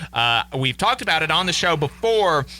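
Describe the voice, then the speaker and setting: A man with a Southern US accent talks at a fairly quick pace in a bright, sharp tone. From Alabama. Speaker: radio host. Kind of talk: radio interview.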